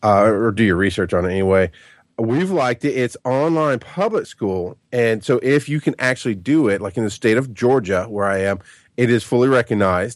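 Against a quiet background, a man with an ordinary speaking voice speaks at a fairly quick pace, with medium pitch and lively intonation. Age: 30s. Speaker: podcaster and father. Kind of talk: casual chat. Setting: remote call.

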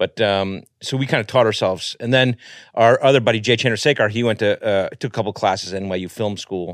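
Pitch varies in an ordinary way as the speaker goes at a very fast pace, with a dry, close sound, no echo, and a quiet background. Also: man, fairly low pitch for a man. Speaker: comedian and film actor. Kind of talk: casual chat.

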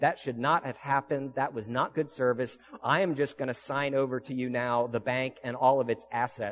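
Reading aloud, plain.

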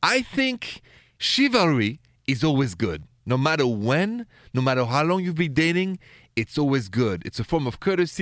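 A man's fairly high voice with very wide pitch swings at a moderate pace, in a dry, close sound with no echo and a very clean recording against a silent background. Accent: strong French. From Paris, France. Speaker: radio relationship advice host.

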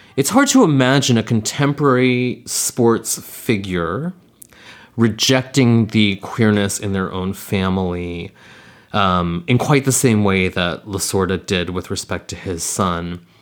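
A man speaks in an ordinary speaking voice at a fairly low pitch. He goes at a fairly slow pace with ordinary pitch variation. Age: 40s. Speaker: podcast co-host. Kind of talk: casual chat.

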